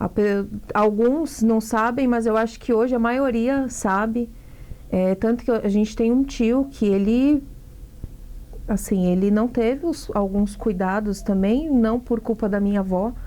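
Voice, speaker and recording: A woman talks in a plain, everyday voice at a fairly high pitch with ordinary pitch variation. Her pace is fairly slow and her loudness very even. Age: 30s. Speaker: actress and singer. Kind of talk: interview.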